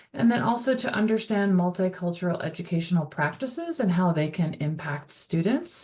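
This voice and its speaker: Over noticeable background noise, a woman talks at medium pitch and a moderate pace with lively intonation and hardly any pauses. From US, Dutch immigrant family. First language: Dutch. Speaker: college instructor. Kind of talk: recorded course lecture. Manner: casual, many fillers.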